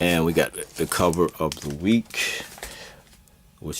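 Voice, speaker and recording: Very deep and low in pitch, a man's voice shows ordinary pitch variation. He speaks at a very slow pace. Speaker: comics collectibles seller and show host. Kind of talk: casual video show presentation. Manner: halting, many fillers.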